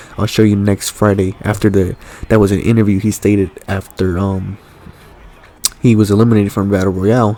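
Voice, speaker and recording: A man's fairly low voice against noticeable background noise. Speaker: gaming commentator. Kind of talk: live commentary. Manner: stuttering at times; casual, hesitant with fillers.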